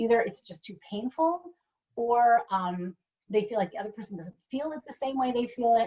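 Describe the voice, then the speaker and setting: A woman with a fairly high voice has a dark, mellow tone and big swings in loudness. The sound is dry and close, with no echo. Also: lively intonation. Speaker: sex therapist. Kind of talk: webinar talk. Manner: fast; animated.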